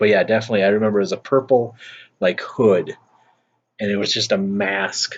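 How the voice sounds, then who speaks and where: A man talks with a Minnesotan accent. His pitch is fairly low and his pace fairly quick. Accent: Minnesota. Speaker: YouTuber. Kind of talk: casual chat. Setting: outdoors on front porch.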